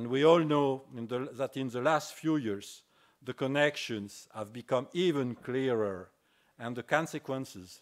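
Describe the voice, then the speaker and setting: Over a quiet background, a man with a French accent speaks at a fairly slow pace with ordinary pitch variation. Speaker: business school dean. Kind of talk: formal introduction speech. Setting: stage with audience. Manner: formal. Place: hall. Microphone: podium.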